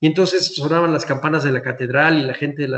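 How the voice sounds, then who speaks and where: A man's fairly quick speech with fairly even intonation. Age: 60s. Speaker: historian, museum director. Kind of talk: lecture. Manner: halting.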